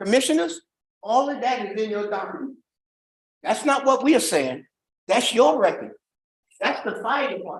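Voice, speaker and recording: A man's extremely high pitch with lively intonation and long, frequent pauses. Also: moderate pace. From New York. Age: 80s+. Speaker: resident speaking at public comment. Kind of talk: public comment at government meeting. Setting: county commissioners meeting. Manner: halting, repeats words.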